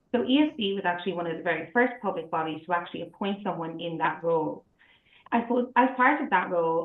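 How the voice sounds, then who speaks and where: A woman with an Irish accent, fairly low in pitch, at a fairly quick pace. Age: 30s. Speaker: accessibility specialist. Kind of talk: prepared presentation.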